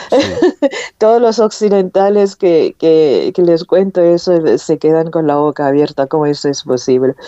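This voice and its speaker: A woman with a fairly low voice speaks at a fairly slow pace, her intonation lively and her loudness very even. The sound is dry and close with no echo, over noticeable background noise. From North Korea. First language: Korean (speaking Spanish). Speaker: author. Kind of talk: interview. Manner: halting.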